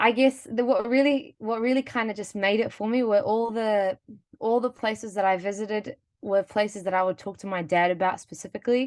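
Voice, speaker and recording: A woman speaks at a fairly quick pace with a New Zealand accent. The background is quiet. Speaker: webinar panelist. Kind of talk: personal story. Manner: animated.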